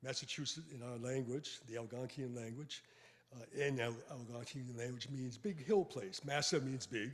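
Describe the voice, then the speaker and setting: A somewhat breathy man's voice with an American accent, a moderate pace and ordinary pitch variation. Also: medium pitch for a man. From Boston, Roxbury. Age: 80s+. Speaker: retired sociology professor. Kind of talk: lecture. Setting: hall with live audience, also streamed by Zoom. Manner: halting, with fillers and self-corrections.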